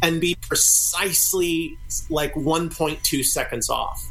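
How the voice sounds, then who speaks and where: A man talks over noticeable background noise. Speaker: experimental music group member, guest. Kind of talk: casual interview chat. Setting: video call.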